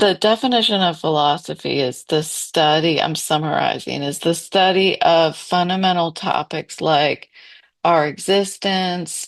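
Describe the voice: In a put-on character voice, a woman speaks at a moderate pace with a fairly low, raspy pitch. The background is quiet.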